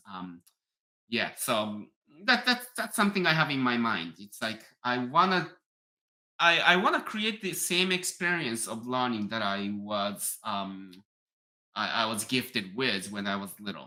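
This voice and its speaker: With a Japanese accent, a man of medium pitch talks at a fairly slow pace, his tone bright and sharp and his intonation lively. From Japan, near Tokyo. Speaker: piano teacher and YouTuber. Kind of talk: live stream chat reading viewer comments. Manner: halting, many fillers.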